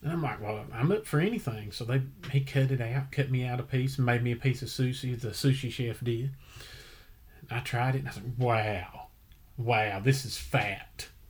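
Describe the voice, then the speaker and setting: A man with an American accent speaks at a medium pitch and a moderate pace. His voice is somewhat breathy, with ordinary pitch variation. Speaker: podcast host. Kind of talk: casual chat.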